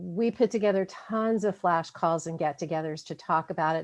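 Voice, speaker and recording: Against a quiet background, a woman talks at a fairly quick pace in a fairly low pitch. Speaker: HR association representative. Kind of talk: panel presentation. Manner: fast.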